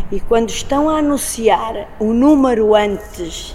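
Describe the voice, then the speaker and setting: A woman's high-pitched voice with lively intonation over noticeable background noise. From Portugal, Lisbon. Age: 50s. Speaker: circus artist. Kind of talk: interview.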